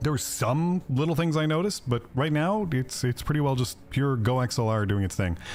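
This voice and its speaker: Over background music, a man talks at a very fast pace with lively intonation. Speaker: gaming streamer. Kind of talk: casual chat. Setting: livestream. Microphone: directional mic with thicker windscreen, slightly quieter.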